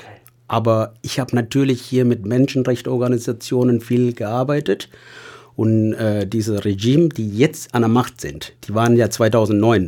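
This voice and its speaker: On a very clean recording with a silent background, a man with a dark, mellow tone speaks at a medium pitch and fairly slow pace, using ordinary pitch variation. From Sri Lanka, Tamil. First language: Tamil (speaking German). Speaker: hospital patient companion. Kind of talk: casual interview.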